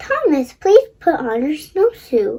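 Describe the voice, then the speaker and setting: A squeaky, put-on character voice from a woman, extremely high-pitched with very wide pitch swings, at a fairly slow pace. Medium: read story.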